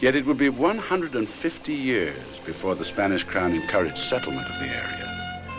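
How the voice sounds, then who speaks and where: A man talks at a moderate pace while music sounds in the background. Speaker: narrator. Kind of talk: documentary narration. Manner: emotive, genteel.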